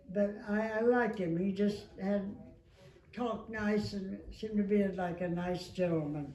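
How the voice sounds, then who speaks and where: A woman at medium pitch with fairly even intonation and a fairly slow pace, against noticeable background noise. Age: 80s+. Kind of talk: interview answer.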